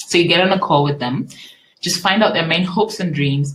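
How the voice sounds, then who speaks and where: A woman's fairly low, somewhat breathy voice moves along at a fairly quick pace. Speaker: business coach. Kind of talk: webinar. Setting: live online webinar. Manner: fast.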